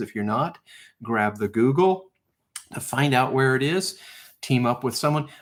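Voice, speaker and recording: A man is speaking. His voice sits at a medium pitch. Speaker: live stream host of treasure hunt game. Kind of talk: live stream casual talk. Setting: live stream. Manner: slow.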